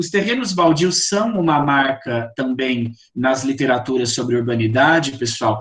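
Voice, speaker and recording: Speaking with an interior São Paulo accent, a man uses ordinary pitch variation. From interior of São Paulo state, Brazil. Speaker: poetry course instructor and publisher. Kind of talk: online lecture and group discussion. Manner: hesitant, with fillers.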